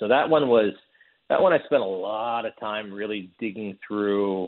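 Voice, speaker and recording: A man with an unremarkable speaking voice and a fairly low pitch talks at a moderate pace. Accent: American. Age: 40s. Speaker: documentary director. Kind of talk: interview.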